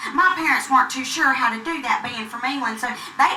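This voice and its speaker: Amid noticeable background noise and audible room echo, a woman with a Southern US accent speaks at a high pitch. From US South, North Carolina (Gastonia). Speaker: stand-up comedian. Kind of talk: stand-up. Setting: comedy club stage with audience.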